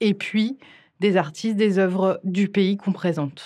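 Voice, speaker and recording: A woman speaks at a moderate pace and medium pitch. The recording is very clean, with a silent background. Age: 40s. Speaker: cinema director and programmer. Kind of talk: interview. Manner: halting.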